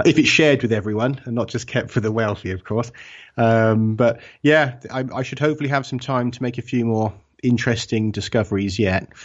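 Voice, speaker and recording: A man with an English accent speaks at a fairly quick pace, keeping his medium pitch in fairly even intonation. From England. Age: 40s. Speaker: author and researcher. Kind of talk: interview.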